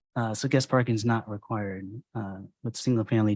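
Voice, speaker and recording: A man's medium-pitched voice at a very fast clip, on a very clean recording with a silent background. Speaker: city planner. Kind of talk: staff report answering questions. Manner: halting.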